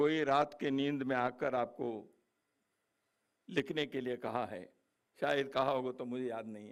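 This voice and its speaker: There are long, frequent pauses and big swings in loudness. The man's medium-pitched voice keeps a fairly even intonation. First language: Kannada (speaking Hindi). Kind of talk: speech at book launch. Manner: formal.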